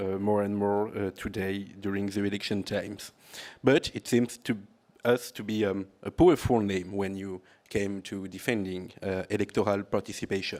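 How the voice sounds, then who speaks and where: A man with a French accent speaks at a moderate pace in a monotone, his pitch fairly low. The recording is very clean, with a silent background. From France. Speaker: political analyst and NGO leader. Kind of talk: conference talk. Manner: halting, many fillers.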